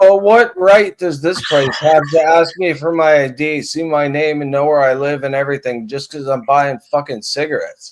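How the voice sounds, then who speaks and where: Using an unremarkable speaking voice, a man talks at a moderate pace and fairly high pitch, with ordinary pitch variation and hardly any pauses. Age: 50s. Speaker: live stream panelist. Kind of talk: casual chat.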